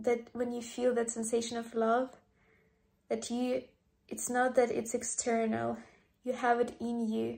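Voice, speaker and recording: Dark, mellow and soothing, a gentle tone at a fairly slow pace with long, frequent pauses. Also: woman. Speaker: podcast host. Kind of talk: guided meditation. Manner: slow, soft, soothing and gentle, with long pauses; warm, sincere and heartfelt.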